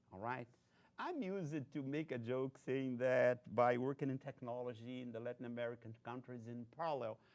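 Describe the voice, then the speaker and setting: This voice carries a Brazilian accent and fairly even intonation. Its pace is moderate. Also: man, medium pitch for a man. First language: Portuguese. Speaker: technology research executive. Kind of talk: invited lecture.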